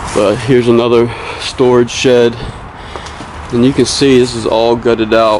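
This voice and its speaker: Against light background noise, a man speaks at a moderate pace. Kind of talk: casual vlog commentary. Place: open country. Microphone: camera far.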